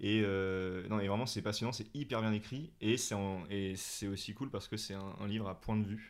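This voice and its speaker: A man with an unremarkable speaking voice talks at a fairly low pitch, a moderate pace and with fairly even intonation. The recording is very clean, with a silent background. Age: 20s. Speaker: comedian and actor. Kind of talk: casual interview.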